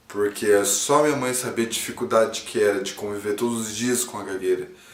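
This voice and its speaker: A man with a medium-pitched voice is heard through audible room echo and noticeable background noise. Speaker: comedy YouTuber. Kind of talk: personal testimony to camera. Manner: halting.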